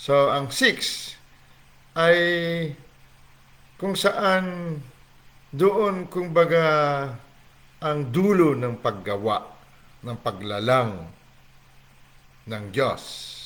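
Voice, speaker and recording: The voice moves at a very slow pace with long, frequent pauses. Its pitch swings very widely. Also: man, fairly high pitch for a man. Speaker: online Bible teacher. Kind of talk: livestream Bible teaching. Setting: livestream from home on laptop. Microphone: laptop mic, asks if volume is okay.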